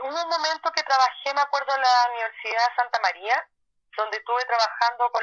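A woman speaks with ordinary pitch variation. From Chile, Valparaíso. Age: 30s. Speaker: social worker. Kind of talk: interview. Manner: halting.

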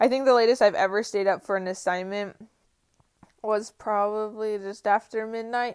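The speaker has an American accent and a moderate pace. Intonation stays fairly even. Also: woman, fairly high pitch for a woman. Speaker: podcast host, college student. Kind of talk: casual monologue. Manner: chatty, filler-heavy.

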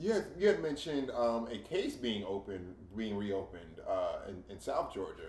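A man at a moderate pace with hardly any pauses and big swings in loudness, amid noticeable background noise. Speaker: podcast co-host. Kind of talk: casual chat.

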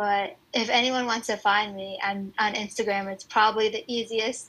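A soft-spoken woman at a medium pitch, with a bright, sharp tone and a fairly slow pace. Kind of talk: casual interview. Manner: shy, soft-spoken.

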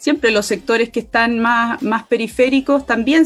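A woman with a high voice speaks at a fairly slow pace over noticeable background noise. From Chile, Aconcagua Valley. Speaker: constitutional convention candidate, environmental activist. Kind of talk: political interview.

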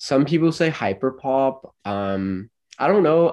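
With an American accent, a man talks in very wide pitch swings against a quiet background. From Los Angeles, California. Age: 20s. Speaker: singer-songwriter and college student. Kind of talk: casual interview.

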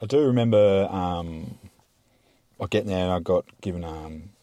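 In an Australian accent, a man speaks at a moderate pace with a very deep, low pitch, a dark, mellow tone and ordinary pitch variation. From South Australia, Mount Gambier. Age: 30s. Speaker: podcast guest, mine worker. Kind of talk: casual chat.

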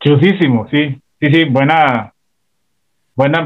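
A man talks with a fairly high pitch and ordinary pitch variation. It is a normal speaking voice. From Costa Rica, San José south barrio. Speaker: radio host and comedian. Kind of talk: casual interview.

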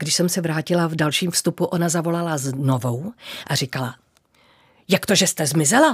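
The woman's somewhat breathy voice sits at a fairly low pitch with ordinary pitch variation, and the sound is dry and close with no echo. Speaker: former TV announcer and presenter. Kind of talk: casual interview.

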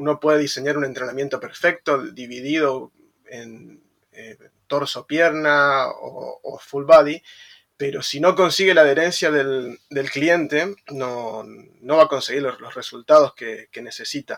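The speaker goes at a fairly slow pace with fairly even intonation. The loudness swings a lot. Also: man, fairly high pitch for a man. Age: 30s. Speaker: personal trainer. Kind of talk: interview. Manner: halting.

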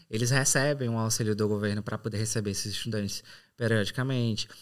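A man speaks with a Ceará accent and fairly even intonation. The recording is very clean, with a silent background. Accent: Brazilian Portuguese, northeastern (Ceará). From Brazil, Ceará (São Benedito, Serra da Ibiapaba). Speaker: English teacher turned exchange student and night porter. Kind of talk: casual interview chat.

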